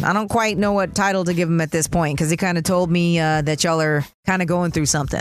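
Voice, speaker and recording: Music plays in the background as a woman with a fairly low pitch speaks in an upbeat tone. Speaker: radio host. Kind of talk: morning-show radio DJ patter, hyping segments and teasing what's coming up next. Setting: radio studio. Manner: upbeat and hype, slangy and conversational; laughs often, loose and chatty.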